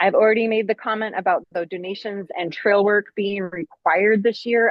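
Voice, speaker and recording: A woman speaks at a medium pitch. Her intonation stays flat and monotone. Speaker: race director. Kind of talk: informational briefing on a video call. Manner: fast.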